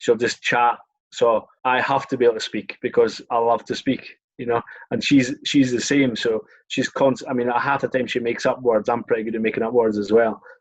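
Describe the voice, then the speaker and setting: In a Scottish accent, a man talks at a moderate pace and medium pitch with monotone, flat intonation. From Scotland, Scottish Borders (Melrose). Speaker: former rugby sevens player. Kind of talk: casual chat.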